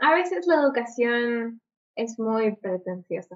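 A woman speaks at a very slow pace with a Peruvian accent. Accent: Peruvian Spanish (Lima). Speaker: film podcast co-host. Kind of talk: casual chat.

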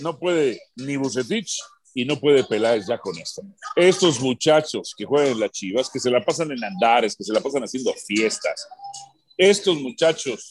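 A man talks at a fairly slow pace in a fairly high pitch. His tone is animated and his intonation lively. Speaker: sports radio host. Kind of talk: sports talk radio debate. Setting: radio studio.

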